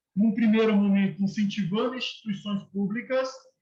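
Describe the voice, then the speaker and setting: Amid audible room echo, a high-pitched man speaks at a moderate pace with fairly even intonation. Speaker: university lecturer. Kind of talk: lecture.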